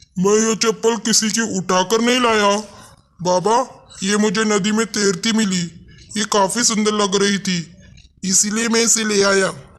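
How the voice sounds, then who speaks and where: A cartoonish character voice with monotone, flat intonation. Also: man, high pitch for a man, moderate pace. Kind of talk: children's cartoon story.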